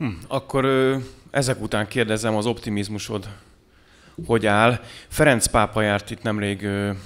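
Fairly slow and pitched fairly low, the man's speech rises and falls in a normal way. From Hungary. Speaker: podcast host and moderator; podcast host, moderator. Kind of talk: moderating a political talk show. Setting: studio with live audience. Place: cafe. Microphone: studio mic.

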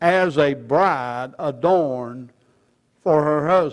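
Ordinary pitch variation from a male speaker against a quiet background. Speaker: preacher. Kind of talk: sermon. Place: church. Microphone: podium.

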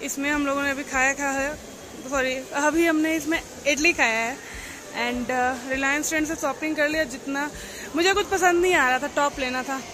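Someone delivers a raised, projected voice at a fairly slow pace with fairly even intonation, over noticeable background noise. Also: woman. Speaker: travel vlogger. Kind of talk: casual vlog chat. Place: shop. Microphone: phone near.

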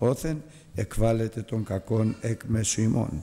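A man is talking. His voice has ordinary pitch variation. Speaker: Bible study teacher. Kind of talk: scripture reading. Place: church. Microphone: podium.

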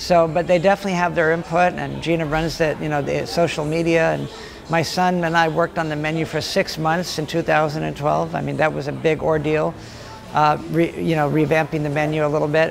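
A man with an American accent speaks at a fairly quick pace and a fairly high pitch. His intonation is monotone and flat, with light background noise. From Los Angeles. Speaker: deli owner. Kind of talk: interview. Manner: halting, with repeated words. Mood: warm, relaxed, smiling. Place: cafe. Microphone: lapel.

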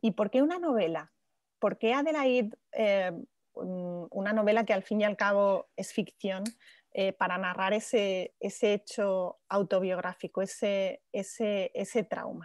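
A woman's very slow delivery at a medium pitch, with ordinary pitch variation, a dry, close sound with no echo and a quiet background. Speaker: journalist moderator. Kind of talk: interview. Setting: video call. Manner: halting.

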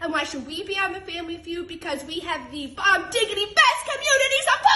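A woman speaks at a fairly quick pace with very wide pitch swings. Audible room echo surrounds her voice. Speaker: high school teacher. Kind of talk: audition tape self-introduction. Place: hall. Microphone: phone near.

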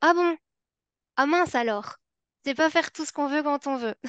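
A woman with a Belgian accent and a high pitch, in a dry sound with no echo against a quiet background. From Belgium. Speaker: psychology and education researcher, former special educator; former special educator. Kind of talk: webinar lecture. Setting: online webinar. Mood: engaged, slightly playful. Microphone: webcam.

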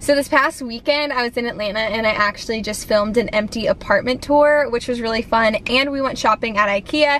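A woman talks at a fairly quick pace with few pauses, her pitch fairly high and her tone fairly bright. Faint background noise is audible. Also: ordinary pitch variation.

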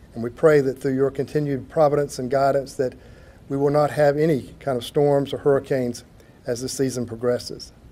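A man talks at a moderate pace. His intonation is flat and monotone. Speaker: city attorney giving invocation. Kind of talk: prayer. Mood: solemn, reverent. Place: hall. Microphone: podium.

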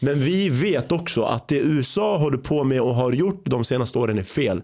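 A dark, mellow tone against a quiet background. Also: man. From Sweden, born in Iraq, arrived age 5. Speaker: podcast host. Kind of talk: podcast interview. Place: studio. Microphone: studio mic.

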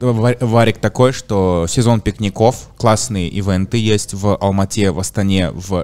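A man speaks in a plain, everyday voice. His pitch is fairly low with ordinary variation. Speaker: podcast host. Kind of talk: casual chat. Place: studio. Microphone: studio mic.

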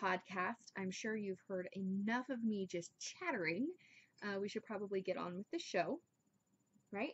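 The woman's tone is fairly bright. She speaks at a fairly slow pace.

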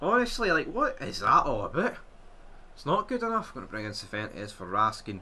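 Speaking very fast, a man with a Scottish accent rattles through his words. His loudness swings widely from moment to moment. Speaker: gaming YouTuber. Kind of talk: live commentary. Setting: gameplay voiceover. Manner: excitable; animated, loud.

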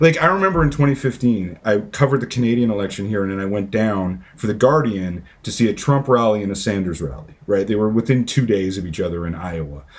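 At a fairly quick pace and with hardly any pauses, a man talks at a fairly low pitch. His intonation is lively. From Canada. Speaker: author; podcast guest. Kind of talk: interview. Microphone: earbuds.

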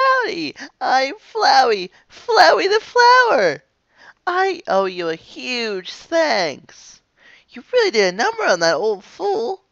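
Female-sounding and high-pitched, this put-on character voice unfolds at a fairly slow pace. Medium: dub. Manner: mocking, menacing.

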